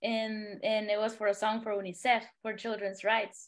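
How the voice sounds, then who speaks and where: Against a quiet background, a woman with a Spanish accent speaks at a moderate pace and a fairly high pitch. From Honduras. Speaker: singer-songwriter. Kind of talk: podcast interview. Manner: halting.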